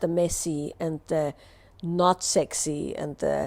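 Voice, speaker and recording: A woman's dark, mellow tone in an Austrian accent. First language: German. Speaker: somatic movement teacher. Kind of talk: live Q&A answer.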